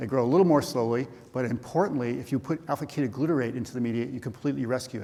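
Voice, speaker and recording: Very fast speech from a man with ordinary pitch variation, amid noticeable background noise. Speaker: professor, cancer researcher. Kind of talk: scientific conference talk. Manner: halting, many fillers and restarts.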